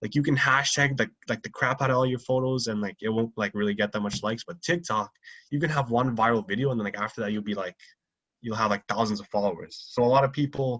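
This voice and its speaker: The sound is dry and close with no echo as a man talks very fast at a medium pitch with ordinary pitch variation. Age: young. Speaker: podcast host and content creator. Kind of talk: casual chat. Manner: halting, many fillers.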